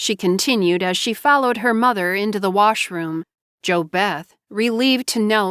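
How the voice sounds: Quiet background, a natural reading voice, and ordinary pitch variation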